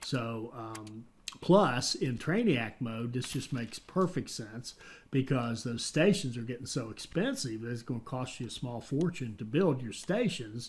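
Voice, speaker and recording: In a very clean recording with a silent background, a man with an American accent talks at a fairly slow pace in a somewhat breathy voice, medium in pitch with ordinary pitch variation. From West Virginia. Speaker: gaming YouTuber. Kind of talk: gameplay commentary. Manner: hesitant, many fillers and restarts.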